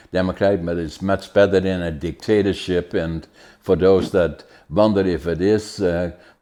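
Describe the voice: At a moderate pace, a man speaks in a low pitch with a dark, mellow tone and fairly even intonation.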